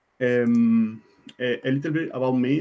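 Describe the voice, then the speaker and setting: A man speaks very slowly with a non-native accent. His pitch sits in the medium range. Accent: non-native English pronunciation. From Argentina. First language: Spanish. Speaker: IT consultant and conference speaker. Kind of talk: conference talk. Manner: halting, many fillers and repetitions.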